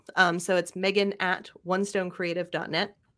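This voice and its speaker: A woman speaks in a fairly low, flat monotone on a very clean recording with a silent background. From Canada (Ottawa). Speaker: podcast production company owner. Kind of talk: casual interview chat.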